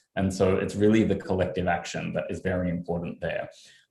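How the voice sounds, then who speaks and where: Speaking very fast in an Australian accent, a man has a fairly low, somewhat breathy voice and fairly even intonation. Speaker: journalist. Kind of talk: panel discussion.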